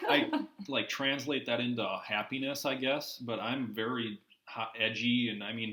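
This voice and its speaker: A man talks in an ordinary speaking voice with an American accent. His pitch is medium and his intonation fairly even. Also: moderate pace. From Minnesota. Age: 20s. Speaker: guest in construction industry. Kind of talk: casual chat.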